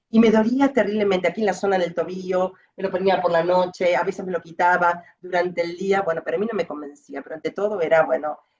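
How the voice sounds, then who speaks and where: A woman rattles along at a very fast pace, her medium-pitched voice showing ordinary pitch variation. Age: 50s. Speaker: patient with lymphedema, physical education teacher. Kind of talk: testimony.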